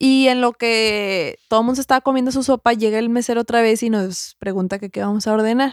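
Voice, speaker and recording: A woman with a Mexican accent speaks at a fairly quick pace with hardly any pauses, a fairly high pitch, and fairly even intonation, in a dry, close sound with no echo on a very clean recording with a silent background. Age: 20s. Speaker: podcast co-host. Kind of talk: casual chat.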